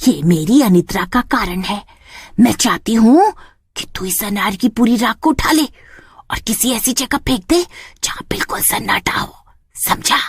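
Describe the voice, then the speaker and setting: A cartoonish character voice comes through at a fairly high pitch. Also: moderate pace. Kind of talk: comic horror cartoon. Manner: bossy, scolding.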